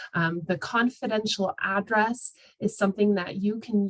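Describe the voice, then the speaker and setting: A woman talks at a moderate pace in an ordinary speaking voice. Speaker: outreach coordinator presenting a training webinar. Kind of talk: webinar presentation. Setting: video call. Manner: many filler words (um, uh).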